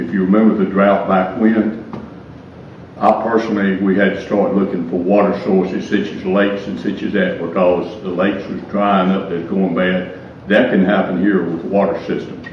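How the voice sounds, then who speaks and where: With audible room echo and noticeable background noise, a man speaks at a fairly low pitch and moderate pace with fairly even intonation. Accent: Southern US. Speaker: retired firefighter, public commenter. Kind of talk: public comment at council meeting. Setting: council meeting with audience. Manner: halting.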